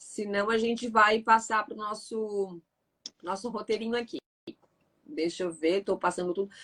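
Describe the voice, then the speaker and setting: Her fairly high voice has a bright, sharp tone and ordinary pitch variation, and the woman speaks fairly slowly with long, frequent pauses. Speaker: live stream host. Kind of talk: live stream Q&A. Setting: online live stream.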